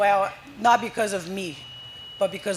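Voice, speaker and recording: Non-native accent at a moderate pace, with noticeable background noise behind it. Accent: foreign. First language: Portuguese. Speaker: soccer coach. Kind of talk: live podcast interview. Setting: live event at a brewery with audience. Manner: animated.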